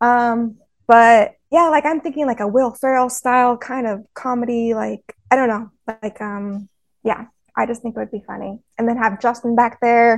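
Here is an unremarkable speaking voice at a moderate pace. The intonation is fairly even. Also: woman, fairly high pitch for a woman. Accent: American. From Texas, Fort Worth. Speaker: fan guest. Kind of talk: casual chat.

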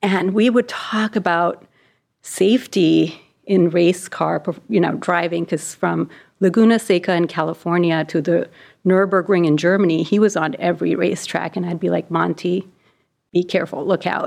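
The woman's voice is fairly low in pitch, with vocal fry. She speaks at a moderate pace against a quiet background. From India. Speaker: physician and patient safety executive. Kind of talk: interview.

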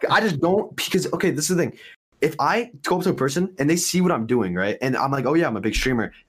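The speech runs at a very fast pace with very wide pitch swings. Vocal fry is present. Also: man, fairly high pitch for a man. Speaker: gamer and content creator. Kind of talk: casual chat.

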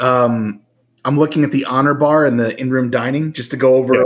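The speaker uses a plain, everyday voice in an American accent. Delivery is at a fairly quick pace with fairly even intonation. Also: man. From New Jersey. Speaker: podcast co-host. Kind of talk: casual chat.

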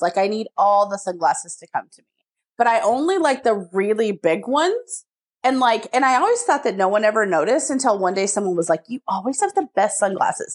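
A woman with an American accent, fairly high in pitch, quick-paced, with an animated tone and lively intonation. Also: big swings in loudness. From small-town Texas. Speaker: podcast co-host. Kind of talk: casual chat.

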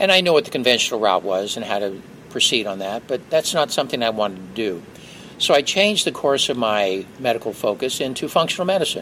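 At a very fast pace, a man with a medium pitch speaks in very wide pitch swings against noticeable background noise. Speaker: physician. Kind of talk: interview explanation. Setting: expo hall.

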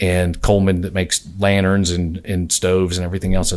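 Speaking at a moderate pace with a Southern US accent, a man with a very deep, low pitch is heard on a very clean recording with a silent background. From US South, southwest Georgia (Albany). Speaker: patent attorney. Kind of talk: interview conversation.

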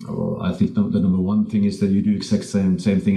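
A man talks at a very fast pace in a Norwegian accent. His intonation is fairly even. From Norway. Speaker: tech company CEO. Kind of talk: podcast interview.

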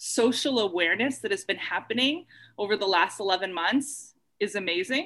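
A woman with a Canadian accent speaks at a fairly slow pace, her fairly high pitch moving in lively intonation. Her tone is bright and sharp, and the background is quiet. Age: 40s. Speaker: arts worker and podcast host. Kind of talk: interview. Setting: video call.

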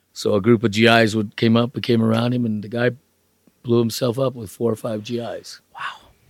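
Delivery is at a moderate speed. The tone stays monotone and flat throughout. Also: man, medium pitch for a man. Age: 60s. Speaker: driver's education instructor, retired salesman. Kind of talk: casual interview, storytelling.

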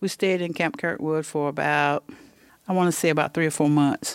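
Very deep, low pitch from a woman with an eastern North Carolina accent at a moderate pace, in a dry, close sound with no echo, on a very clean recording with a silent background. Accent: eastern North Carolina Southern. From eastern North Carolina, Pender County. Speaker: retired hurricane survivor. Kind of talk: interview testimony. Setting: outdoors on a porch.

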